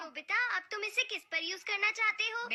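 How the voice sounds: At a moderate speed, a cartoonish character voice talks at an extremely high pitch.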